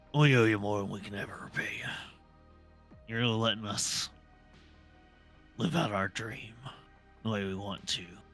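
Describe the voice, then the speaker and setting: A man's raspy, put-on character voice at a fairly low pitch and moderate pace, with long, frequent pauses and faint music in the background. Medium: virtual streamer. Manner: chuckling, easygoing.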